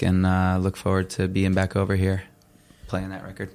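Pitched very deep and low, a man speaks at a moderate pace. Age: 30s. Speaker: punk rock singer. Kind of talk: casual interview.

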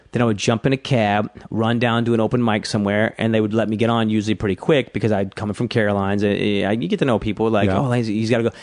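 Against a quiet background, a man with an American accent talks very fast at medium pitch, his loudness very even and his intonation fairly even. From US South, South Georgia. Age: 30s. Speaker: stand-up comedian. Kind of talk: casual chat.

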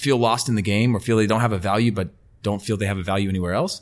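A man talks with an American accent. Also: very clean recording, silent background. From California, US. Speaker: retired professional footballer and football media presenter. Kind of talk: casual interview chat. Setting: podcast interview.

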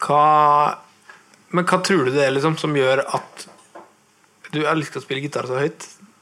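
This man speaks with a Nordmøre accent and a fairly high pitch. His pace is moderate. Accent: Nordmøre Norwegian. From Nordmøre, Norway. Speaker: podcast host, guitarist. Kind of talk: live interview. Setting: record shop with live audience. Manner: talkative.

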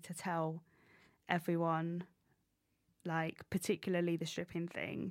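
Someone speaks with an English accent in a dry, close sound with no echo on a very clean recording with a silent background. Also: woman. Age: 30s. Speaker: stand-up comedian. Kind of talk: casual interview. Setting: studio.

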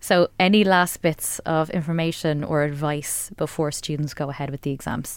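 A woman with an Irish accent, very deep and low, fairly even in intonation, hardly any pauses. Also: moderate pace. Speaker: radio host. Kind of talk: radio interview. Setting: radio studio.

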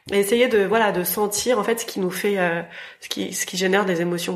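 With noticeable background noise behind her, a woman speaks at a moderate pace with fairly even intonation. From rural France. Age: 40s. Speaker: fashion entrepreneur. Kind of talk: interview. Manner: hesitant, many fillers.

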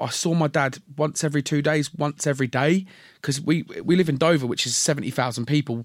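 Recorded very cleanly against a silent background, a man with a normal speaking voice talks at a moderate pace, his fairly high pitch carrying ordinary pitch variation. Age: 30s. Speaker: comedian. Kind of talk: casual chat. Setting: stage with audience.

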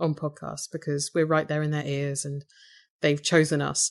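A woman with an English accent, her pitch very deep and low, at a fairly quick pace against a quiet background. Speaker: podcaster. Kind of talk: interview.

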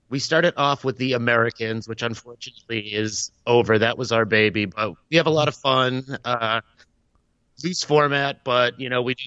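Moving at a moderate pace, a man speaks with ordinary pitch variation. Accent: slight Boston. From Boston, US. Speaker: guest podcaster. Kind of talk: casual chat. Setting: remote call without video.

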